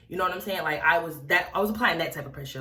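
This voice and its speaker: Her tone animated, a woman speaks with audible room echo around her voice. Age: young. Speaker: wig review vlogger. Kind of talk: storytime vlog. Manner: fast.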